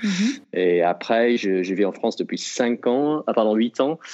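The speaker talks at a fairly slow pace with an English accent. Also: man. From Britain. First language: English (speaking French). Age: 30s. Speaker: elite trail runner. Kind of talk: interview.

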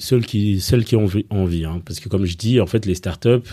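A man's fairly low, somewhat breathy voice with a dark, mellow tone, ordinary pitch variation and moderate pace, on a very clean recording with a silent background. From Belgium, grew up after early childhood in Rwanda, Congo and Kenya refugee camps. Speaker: startup coach and fundraising advisor. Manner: hesitant, many fillers and repetitions.

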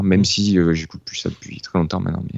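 A man speaks with a very deep, low pitch and monotone, flat intonation. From Marseille area, southern France. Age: 30s. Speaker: guitarist. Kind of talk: casual interview.

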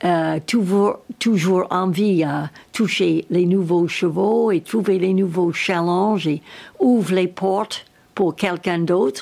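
Very slow and with very even loudness, a woman with an English accent speaks at a medium pitch using fairly even intonation. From United States. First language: English (speaking French). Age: 80s+. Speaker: equestrian trainer. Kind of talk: interview. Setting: at her home. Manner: halting.

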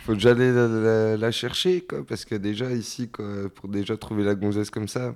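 With a plain, everyday voice, a man speaks at a fairly low pitch and a moderate pace, with ordinary pitch variation. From rural France, small village. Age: 30s. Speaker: interviewee. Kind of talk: casual interview. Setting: at his home.

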